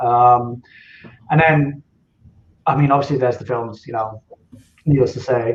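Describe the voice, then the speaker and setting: The speech moves at a moderate pace with long, frequent pauses. Intonation stays fairly even, and the voice is somewhat breathy. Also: man, medium pitch for a man. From Scottish Highlands. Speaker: novelist. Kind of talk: podcast interview. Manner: hesitant, many fillers.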